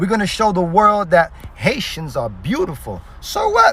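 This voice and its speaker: Speaking at a moderate pace, a man uses an animated tone over noticeable background noise. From Haiti. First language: Haitian Creole. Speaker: social media creator. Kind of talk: casual direct-to-camera video.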